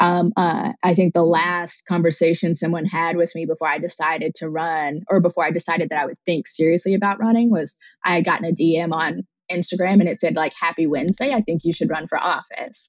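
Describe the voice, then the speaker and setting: Fairly low in pitch, the woman's voice holds a fairly even intonation. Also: fairly quick pace, hardly any pauses. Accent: American. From southern Oklahoma. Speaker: state legislator. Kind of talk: interview conversation. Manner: hesitant with many fillers.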